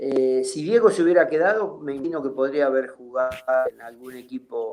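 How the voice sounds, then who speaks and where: With big swings in loudness, a man talks at a fairly quick pace in a fairly high pitch, his intonation lively. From Argentina. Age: 60s. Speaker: retired footballer. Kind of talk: interview. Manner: halting.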